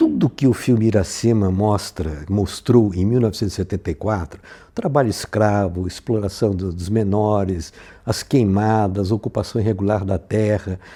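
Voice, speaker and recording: A dark, mellow tone at a moderate pace. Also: man, fairly low pitch for a man. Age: 80s+. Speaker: filmmaker. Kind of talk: interview testimony. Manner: halting, with many repetitions and fillers.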